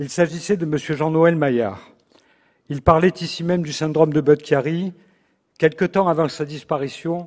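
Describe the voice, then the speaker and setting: Fairly high-pitched and with fairly even intonation, a man speaks at a moderate pace in a very clean recording over a silent background. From Marseille, southern France. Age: 60s. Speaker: surgeon, congress president. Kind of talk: formal presidential speech. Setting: stage with audience. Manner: formal.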